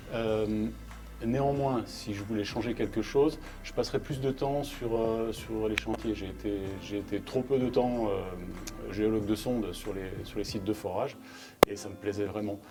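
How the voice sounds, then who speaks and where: Music plays behind a man with a fairly low pitch. He talks at a fairly slow pace with fairly even intonation. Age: 50s. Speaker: geologist and union member. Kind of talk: interview. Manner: halting, repeats words.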